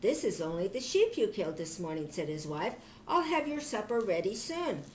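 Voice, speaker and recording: Using a put-on character voice, a woman speaks at a fairly high pitch and moderate pace with very wide pitch swings over clear background noise. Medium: read story. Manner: fearful, hushed.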